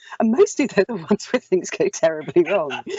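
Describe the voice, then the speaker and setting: Very fast speech with an English accent and lively intonation. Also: woman. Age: 50s. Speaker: actor and audiobook narrator. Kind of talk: casual chat.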